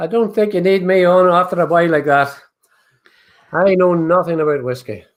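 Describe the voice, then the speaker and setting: Talking at a fairly quick pace, a man with a high pitch and ordinary pitch variation takes long, frequent pauses. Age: 70s. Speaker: whiskey company owner. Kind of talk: casual chat. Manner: animated.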